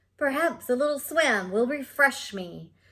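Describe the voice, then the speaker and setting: Using a put-on character voice, a woman speaks in a high pitch at a moderate pace on a very clean recording with a silent background. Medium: read story. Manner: grumbling, put-upon.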